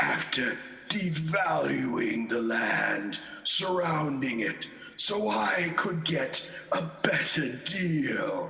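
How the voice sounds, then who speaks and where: This man puts on a character voice. He talks at a very slow pace with a fairly high pitch. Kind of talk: radio play performance. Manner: stern, scolding.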